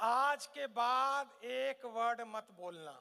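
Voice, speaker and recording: A man's voice is raised and projected. He talks with lively intonation. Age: 50s. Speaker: motivational speaker. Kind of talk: motivational seminar talk. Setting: stage with live audience. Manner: animated.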